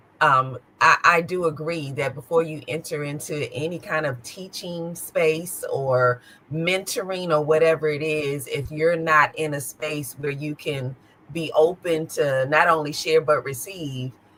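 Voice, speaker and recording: A woman's very deep, low voice with fairly even intonation and a fairly slow pace, amid noticeable background noise. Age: 50s. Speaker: podcast host. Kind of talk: interview.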